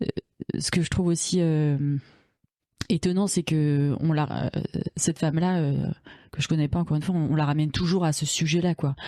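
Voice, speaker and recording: A woman with a very deep, low pitch and a dark, mellow tone speaks at a moderate pace, her loudness very even, her intonation fairly even, with long, frequent pauses. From France, Paris suburbs. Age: 40s. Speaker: podcast guest, feminist activist. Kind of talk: casual interview chat. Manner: halting, many fillers.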